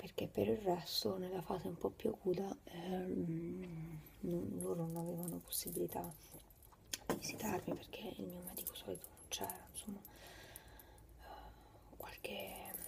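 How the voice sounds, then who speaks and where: A woman speaks at a very slow pace with long, frequent pauses over loud background noise. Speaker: vlogger. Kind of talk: casual vlog chat. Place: home room. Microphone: phone near.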